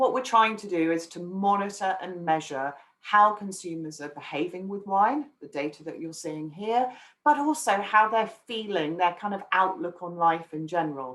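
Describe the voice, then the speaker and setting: At a moderate pace, a woman speaks at a medium pitch with lively intonation. Her loudness swings widely. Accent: English. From England. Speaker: wine market research analyst. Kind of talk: webinar presentation. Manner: hesitant with frequent fillers.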